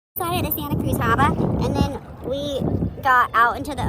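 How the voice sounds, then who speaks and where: Audible room echo and noticeable background noise come through along with a woman's speech. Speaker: vlogger. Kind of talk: casual chat. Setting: outdoors. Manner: loud; animated.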